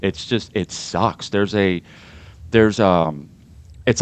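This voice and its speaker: A man with an American accent talks at a moderate pace in an ordinary speaking voice, fairly low in pitch with fairly even intonation, against a quiet background. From Pittsburgh, Pennsylvania. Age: 40s. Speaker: podcast host, homesteader. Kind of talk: casual chat.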